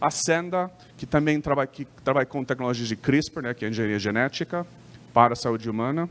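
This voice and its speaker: Here a man talks at a fairly quick pace. His medium pitch shows ordinary variation. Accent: American. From United States. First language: English (speaking Portuguese). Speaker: company sales lead presenting. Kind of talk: trade show presentation. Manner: halting, many false starts and fillers.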